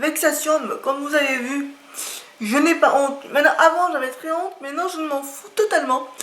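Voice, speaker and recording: A woman speaks in a raised, projected voice with a bright, sharp tone and high pitch. Her pitch varies in an ordinary way, and room echo is audible. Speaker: YouTuber presenting books and art supplies. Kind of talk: casual vlog talk to camera. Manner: slow; halting, with filler hesitations.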